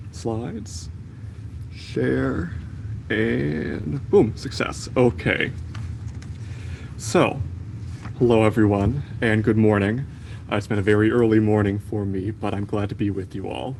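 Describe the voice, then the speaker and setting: A man with an American accent and a fairly low pitch talks at a fairly slow pace with lively intonation and long, frequent pauses, amid audible room echo and noticeable background noise. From USA. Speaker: medical student. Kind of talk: conference talk.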